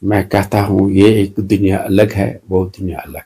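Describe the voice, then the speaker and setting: Fairly low in pitch, this man's voice has a dark, mellow tone and vocal fry. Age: 70s. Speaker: retired doctor. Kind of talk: interview. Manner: halting.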